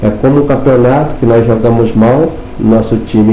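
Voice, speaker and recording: A medium-pitched man at a fairly slow pace with fairly even intonation, amid noticeable background noise and audible room echo. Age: 60s. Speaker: spiritual instructor. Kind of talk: lecture.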